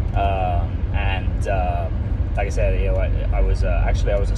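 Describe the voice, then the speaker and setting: There is loud background noise throughout. Through it, a man talks. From United Kingdom. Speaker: food truck planner, former teacher and retail manager. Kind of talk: casual talk to camera. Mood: earnest, slightly nervous. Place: car. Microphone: phone near.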